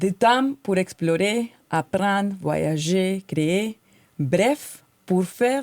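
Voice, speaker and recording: In a dry, close sound with no echo, a woman with a slight Colombian accent speaks at a medium pitch with lively intonation. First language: Spanish (speaking French). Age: 40s. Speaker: podcast co-host. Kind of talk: podcast monologue, prepared talk.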